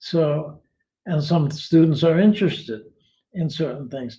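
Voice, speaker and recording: A man with a fairly high pitch and a dark, mellow tone talks at a fairly slow pace. His pitch varies in an ordinary way, with long, frequent pauses. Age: 80s+. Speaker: retired philosophy teacher, online writer. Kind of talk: interview answers. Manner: halting, many restarts.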